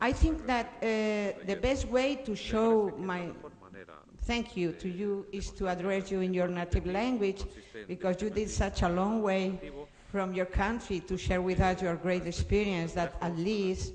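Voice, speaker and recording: Someone with a Spanish accent is heard over noticeable background noise. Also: fairly slow pace. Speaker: social services worker, audience member. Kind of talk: audience question. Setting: conference hall.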